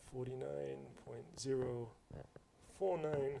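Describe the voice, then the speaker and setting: Audible room echo surrounds a man's medium-pitched voice. His tone is dark and mellow, and his intonation is lively. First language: not English. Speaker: mathematics lecturer. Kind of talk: lecture. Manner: casual, conversational.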